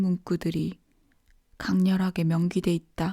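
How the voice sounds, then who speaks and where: A soft-spoken woman talks very slowly in a dark, mellow, somewhat breathy tone. The sound is dry and close, with no echo. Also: very clean recording, silent background. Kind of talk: bedtime audiobook reading. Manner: sleepy, soft.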